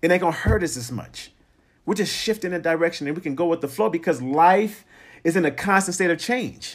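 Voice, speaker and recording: On a very clean recording with a silent background, a man with a high pitch talks at a fairly quick pace in an animated, energetic tone with lively intonation. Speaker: podcast host. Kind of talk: solo motivational podcast monologue. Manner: fast talker.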